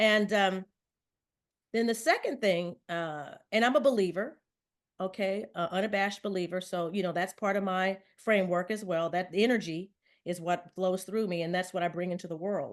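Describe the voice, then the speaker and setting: A woman's medium-pitched voice with an American accent, ordinary pitch variation, a moderate pace and a quiet background. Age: 60s. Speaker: wellness consultant and author. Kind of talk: podcast interview. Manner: hesitant, with many fillers.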